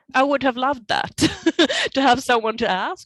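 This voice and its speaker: A woman with a Swedish accent at a moderate pace, ordinary pitch variation, a dry, close sound with no echo, and a very clean recording over a silent background. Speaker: painter. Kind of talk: interview. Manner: halting.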